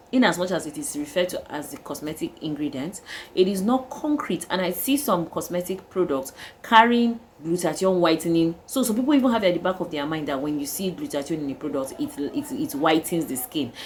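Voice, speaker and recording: In a Nigerian accent, a woman talks at a fairly quick pace with a fairly low pitch. Her pitch swings very widely. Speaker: skincare vlogger. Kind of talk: casual vlog talk. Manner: halting, with fillers.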